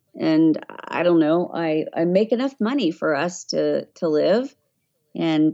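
With a slight Southern US accent, a woman speaks at a fairly slow pace in a fairly low pitch with lively intonation. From Tennessee. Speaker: voiceover artist. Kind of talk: casual interview chat.

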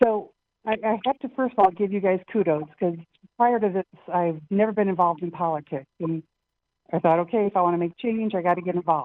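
With a plain, everyday voice, a woman of medium pitch speaks at a fairly quick pace with ordinary pitch variation. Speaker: caller. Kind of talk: call-in chat. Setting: phone call.

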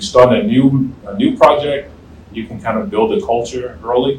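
Audible room echo and noticeable background noise surround the recording. A man with an American accent speaks at a moderate pace. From US South, southern Virginia. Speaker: retired space program director. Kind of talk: interview. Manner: halting.

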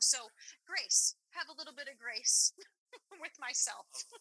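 A woman's raised, projected voice with lively intonation, dry and close with no echo. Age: 40s. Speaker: chef and mother. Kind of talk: casual chat.

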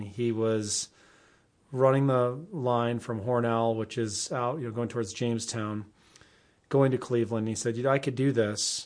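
Medium-pitched male voice, fairly even in intonation, at a moderate pace. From upstate New York (Endwell, Southern Tier). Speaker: educator and congressional candidate. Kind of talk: interview.

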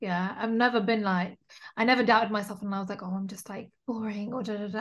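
Against a quiet background, a woman with a British accent talks at a very fast pace. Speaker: podcaster. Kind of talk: casual chat. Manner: candid, profane.

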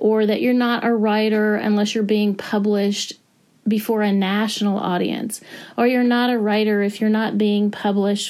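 This is a plain, everyday voice speaking at a moderate pace. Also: woman. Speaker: author. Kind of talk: recorded advice message.

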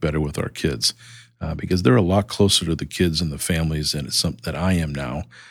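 A man with an American accent speaks at a fairly quick pace in a very deep, low voice with vocal fry and ordinary pitch variation, on a very clean recording with a silent background. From Boston, US. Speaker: nonprofit CEO. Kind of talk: interview conversation.

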